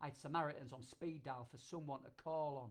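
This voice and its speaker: A man speaks with a Yorkshire accent. His intonation stays fairly even. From Yorkshire, England. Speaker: performance poet, army veteran. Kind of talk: performance poetry.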